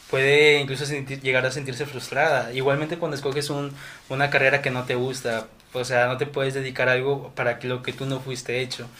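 A man's medium-pitched, flat monotone at a fairly quick pace. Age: 20s. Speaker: civil engineering student. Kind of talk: casual chat.

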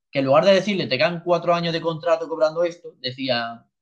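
At a very fast pace, a man with a high pitch speaks with ordinary pitch variation. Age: 20s. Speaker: amateur football goalkeeper. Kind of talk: casual chat.

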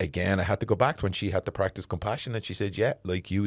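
A man talks at a very fast pace in a very clean recording with a silent background. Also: dry, close sound with no echo. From Dublin inner city (the Liberties). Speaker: podcast host. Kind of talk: casual interview chat. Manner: animated, laughing.

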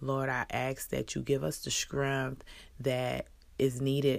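The speaker has an American accent and talks at a very slow pace. The recording is very clean, with a silent background. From Texas. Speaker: person praying. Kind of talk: fervent spoken prayer, heartfelt and pleading, with emotional, thankful tone. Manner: emotional, earnest, halting with a shaky overwhelmed tone.

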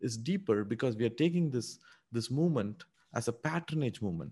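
In a quiet background, a man with an Indian accent speaks at a moderate pace and medium pitch, his voice somewhat breathy and his intonation lively. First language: Indian language. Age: 30s. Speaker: crypto investor. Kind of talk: interview chat. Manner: hesitant, filler-heavy.

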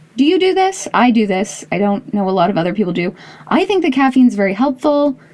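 Noticeable background noise surrounds a woman with a Canadian accent whose fairly high voice moves through very wide pitch swings. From Canada, Toronto. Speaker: podcast host. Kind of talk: monologue intro; casual interview chat.

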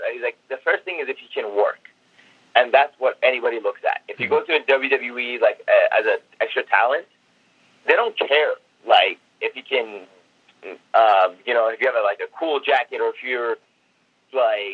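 A man with a Persian accent at a moderate pace, with long, frequent pauses. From Iran, then US (Seattle) from age 10. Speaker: pro wrestler. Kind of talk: interview.

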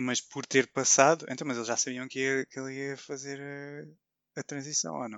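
The speaker has a plain, everyday voice with fairly even intonation, talking at a moderate pace with big swings in loudness and hardly any pauses. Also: man, medium pitch for a man. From Portugal, Vilamoura (Algarve). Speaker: podcast co-host. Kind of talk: casual chat.

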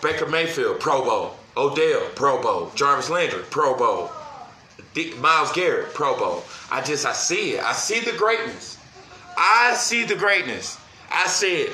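Noticeable background noise and audible room echo accompany this man's fairly slow speech. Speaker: sports podcast host. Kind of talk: casual solo sports talk. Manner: excited, animated.

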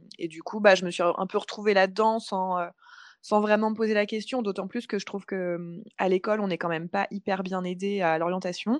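A woman talks at a moderate pace and a medium pitch, with fairly even intonation. It is an ordinary speaking voice over a quiet background. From France, Paris. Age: 30s. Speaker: freelance communications consultant and coach. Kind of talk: casual interview chat.

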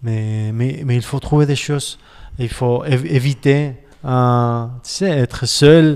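Speaking very slowly with a Spanish accent, a man uses ordinary pitch variation. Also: medium pitch for a man. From Spain, Barcelona. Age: 40s. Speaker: pastor. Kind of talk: casual chat. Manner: halting.

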